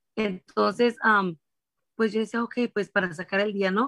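A woman's ordinary speaking voice at medium pitch, fairly slow in pace, with ordinary pitch variation and a dry, close sound with no echo. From Mexico, Durango. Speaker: food vendor and small business owner. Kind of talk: interview. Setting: live stream.

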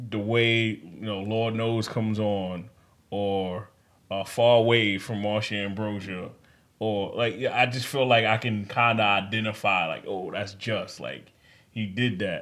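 The delivery comes at a fairly slow pace with an American accent. Intonation stays monotone and flat. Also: man, fairly low pitch for a man. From New York. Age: 30s. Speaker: podcast host. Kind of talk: casual chat.

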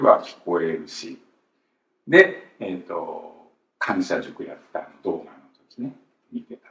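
A man talks at a fairly slow pace. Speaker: Bible teacher host. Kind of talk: casual religious talk, recounting.

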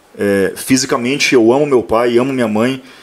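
Over noticeable background noise, a man speaks at a medium pitch and a moderate pace. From Paraná, Brazil (Maringá). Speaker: accounting professor. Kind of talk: casual chat. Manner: animated.

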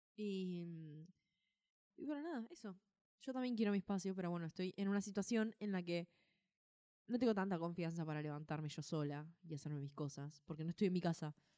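With an Argentine accent, a woman talks at a fairly quick pace in a dark, mellow tone and a fairly low pitch with ordinary variation. The sound is dry and close, without any echo. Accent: Rioplatense Argentine Spanish. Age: 20s. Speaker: podcast co-host. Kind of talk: casual chat.

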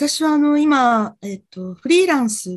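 Against a quiet background, a woman speaks at a fairly slow pace in a somewhat breathy voice with lively intonation. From Japan, Fukuoka. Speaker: freelance TV director, client. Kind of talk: career consultation.

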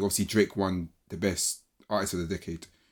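In a London accent, a man with a fairly low voice talks at a fairly quick pace with fairly even intonation. The recording is very clean, with a silent background. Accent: London British. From Britain, Ghanaian heritage. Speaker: podcast co-host. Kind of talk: casual chat.

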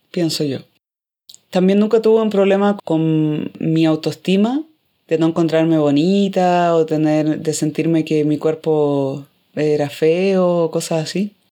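A woman's dark, mellow tone at a very slow pace, with a Chilean accent. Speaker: podcast host. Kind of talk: casual chat.

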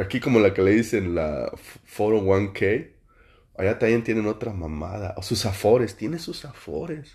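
A man's fairly low, dark and mellow voice, somewhat breathy, with a Mexican accent, at a fairly slow pace. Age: 40s. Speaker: podcaster. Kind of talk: casual monologue.

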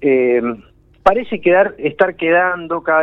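With ordinary pitch variation and a moderate pace, a man talks in a normal speaking voice. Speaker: political columnist. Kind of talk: radio political commentary.

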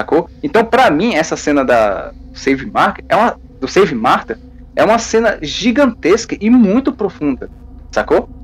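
Pitch swings very widely while loudness stays very even, at a fairly slow pace. Background noise is noticeable. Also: man, high pitch for a man. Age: 20s. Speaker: fan site columnist. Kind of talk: casual chat.

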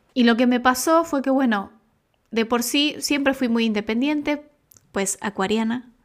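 A woman speaks at a high pitch and a fairly slow pace with ordinary pitch variation, in a very clean recording with a silent background. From Argentina, Buenos Aires. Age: 20s. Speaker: makeup artist. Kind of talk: casual chat. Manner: talkative.

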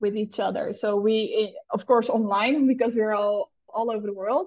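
A woman talks in a Dutch accent at a fairly high pitch. Her pitch varies an ordinary amount. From the Netherlands. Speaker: founder of an entrepreneur community, entrepreneur. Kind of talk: casual interview chat. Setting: video call, remote from Bali.

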